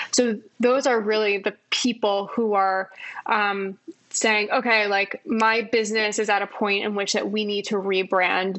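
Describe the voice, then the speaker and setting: Someone talks at a fairly slow pace with fairly even intonation over noticeable background noise. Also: woman. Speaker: design executive. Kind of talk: podcast interview.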